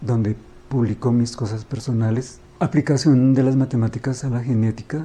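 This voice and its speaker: Slightly breathy, a man's medium-pitched voice carries a dark, mellow tone and flat, monotone intonation. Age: 60s. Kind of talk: interview.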